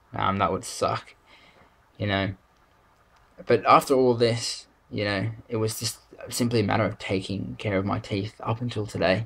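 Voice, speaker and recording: Vocal fry marks this man's fairly low voice, in an Australian accent with ordinary pitch variation. He keeps a moderate pace but takes long, frequent pauses. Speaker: vlogger. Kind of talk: video diary. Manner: halting, many fillers.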